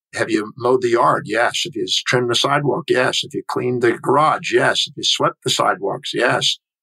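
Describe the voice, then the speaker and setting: This man has a plain, everyday voice at medium pitch, with an American accent. His pitch varies normally, and the sound is dry and close with no echo. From Texas, Houston. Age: 60s. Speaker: human behavior specialist and author. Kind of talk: interview.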